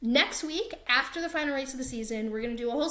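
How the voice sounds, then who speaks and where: With an American accent, a woman speaks at a high pitch with ordinary pitch variation. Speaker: podcast host. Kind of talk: casual chat.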